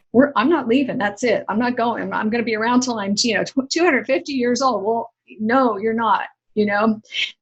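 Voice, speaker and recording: This woman has an ordinary speaking voice, pitched fairly high. She talks at a fairly quick pace with ordinary pitch variation. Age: 60s. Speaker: author and inspirational speaker. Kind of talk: interview conversation.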